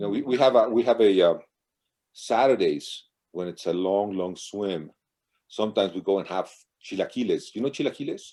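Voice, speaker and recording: Dark and mellow in tone, a man with a fairly low pitch and ordinary pitch variation moves at a fairly quick pace, broken by long, frequent pauses. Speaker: marathon swimmer. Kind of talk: casual interview. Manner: halting.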